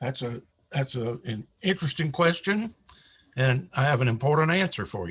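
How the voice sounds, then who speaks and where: A man with an American accent speaks at a moderate pace, somewhat breathy, with lively intonation. The recording is very clean, with a silent background. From US South, South Carolina (Spartanburg). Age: 70s. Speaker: retired pastor and author. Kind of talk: interview storytelling.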